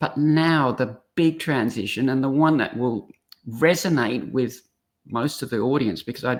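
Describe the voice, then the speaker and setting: With an Australian accent, a woman speaks fairly slowly in a very deep, low pitch with ordinary pitch variation. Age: 60s. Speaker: speaker and coach. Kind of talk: podcast interview.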